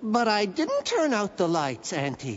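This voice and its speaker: A cartoonish character voice, fairly high with very wide pitch swings, moves at a moderate pace over clear background noise. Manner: eager, friendly.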